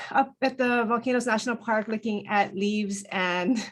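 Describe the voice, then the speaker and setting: A woman with a Hawaiian accent. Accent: Hawaii English. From Hawaii, Hilo on the Big Island. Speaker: planner. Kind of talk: self-introduction in virtual meeting. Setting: Zoom video call.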